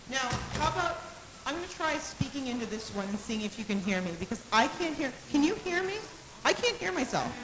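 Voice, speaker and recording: A woman's loud, high voice swings very widely in pitch at a moderate pace, broken by long, frequent pauses, over noticeable background noise. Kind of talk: mic check and poetry reading.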